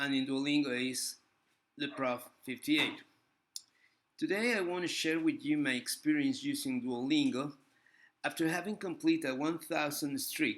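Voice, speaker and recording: On a very clean recording with a silent background, a man with a Spanish accent talks at a moderate pace with long, frequent pauses. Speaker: language teacher and vlogger. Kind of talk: casual video review. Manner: halting, with frequent fillers.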